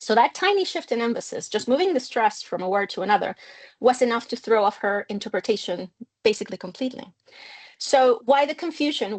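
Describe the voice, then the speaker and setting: Fairly quick speech comes from a woman. Her voice sits fairly high. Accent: Spanish. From Mexico. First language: Spanish. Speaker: linguistics researcher. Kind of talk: academic lecture.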